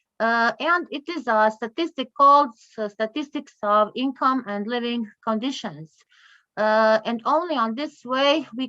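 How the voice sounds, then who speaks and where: Against a quiet background, a woman with a Croatian accent talks at a fairly slow pace with ordinary pitch variation and a bright, sharp tone, the sound dry and close with no echo. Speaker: conference speaker on poverty statistics. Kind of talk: conference presentation. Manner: halting, many fillers.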